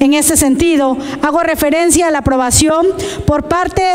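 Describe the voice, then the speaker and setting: A woman with a high pitch talks at a moderate pace, keeping her intonation fairly even. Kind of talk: formal report read aloud. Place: hall. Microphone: podium.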